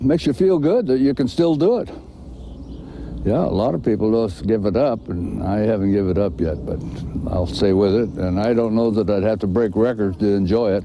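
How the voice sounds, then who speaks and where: A man with a fairly low voice talks while clear background noise sits behind him. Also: lively intonation, fairly quick pace. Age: 90s. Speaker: senior athlete and former referee. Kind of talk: interview answer. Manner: conversational, folksy.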